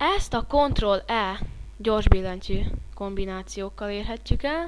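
Noticeable background noise surrounds a woman who talks at a very slow pace. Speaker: software tutorial instructor. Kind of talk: screen-recorded tutorial. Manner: halting, with fillers and stumbles.

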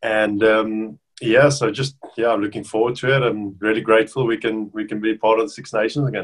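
Speaking with a South African accent and fairly even intonation, a man is heard against a quiet background. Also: fairly quick pace. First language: Afrikaans. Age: 30s. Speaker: professional rugby player. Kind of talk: casual interview. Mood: relaxed, friendly. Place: home room. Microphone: webcam.

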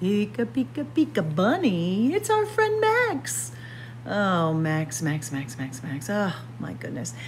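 A woman speaks at a slow pace with very wide pitch swings.

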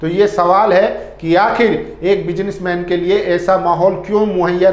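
A man's high voice at a fairly slow pace, with audible room echo

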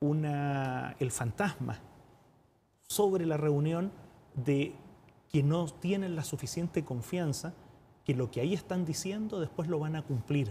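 A man with a Chilean accent and a dark, mellow tone, fairly high-pitched for a man, at a fairly slow pace with ordinary pitch variation and light background noise. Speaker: UN diplomat and economist; guest. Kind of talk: TV interview. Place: studio. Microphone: lapel.

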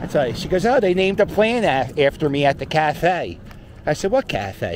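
Speaking with a Philadelphia accent, a man with a high pitch and lively intonation is heard in a dry sound with no echo and light background noise. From Philadelphia (Port Richmond). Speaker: YouTuber / street vlogger. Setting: outdoors, walking a dog. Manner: rambling, filler-heavy (um, uh), self-correcting. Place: street. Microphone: phone near.

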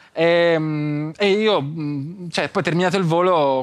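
A man talks with ordinary pitch variation. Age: young. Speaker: content creator and entrepreneur; content creator. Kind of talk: casual interview. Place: studio. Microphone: lapel.

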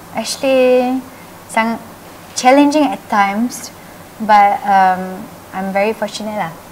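Very slowly and with long, frequent pauses, a woman with a fairly high pitch speaks in a gentle tone with ordinary pitch variation over light background noise. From Malaysia. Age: 30s. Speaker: state assembly member; interviewee. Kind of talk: interview. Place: shop.

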